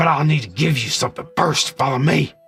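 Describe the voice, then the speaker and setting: A man growls in a put-on character voice. He talks at a fairly quick pace with a fairly high pitch. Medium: game stream.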